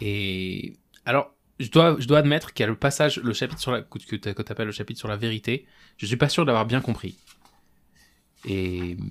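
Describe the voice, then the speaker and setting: On a very clean recording with a silent background, a man speaks at a medium pitch and moderate pace, with ordinary pitch variation and long, frequent pauses. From France, Strasbourg (Alsace). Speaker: podcast host. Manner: hesitant, many fillers.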